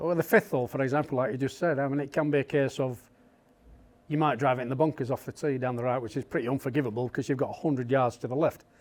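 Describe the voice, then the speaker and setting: A very fast delivery in a Yorkshire accent, with fairly even intonation. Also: man, medium pitch for a man. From Yorkshire, England. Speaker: golf caddie. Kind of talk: interview answer.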